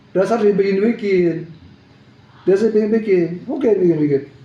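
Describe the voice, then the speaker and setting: There is noticeable background noise as a man speaks at a fairly quick pace in an animated tone. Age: 60s. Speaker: businessman in a legal dispute over seized assets. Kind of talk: press statement.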